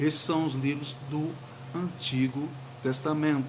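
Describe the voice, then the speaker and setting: Fairly high-pitched, a man speaks in a flat monotone. Room echo and noticeable background noise are audible. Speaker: pastor. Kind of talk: sermon. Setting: livestream.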